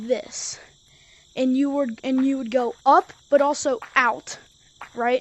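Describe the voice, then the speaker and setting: A woman speaks with a high pitch. Her tone is animated. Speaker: gaming YouTuber. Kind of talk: tutorial. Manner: stutters; casual, animated.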